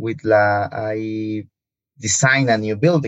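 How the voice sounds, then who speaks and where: With a Spanish accent, a man speaks with ordinary pitch variation. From Mexico, Morelia. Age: 20s. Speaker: architect. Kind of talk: casual interview. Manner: halting.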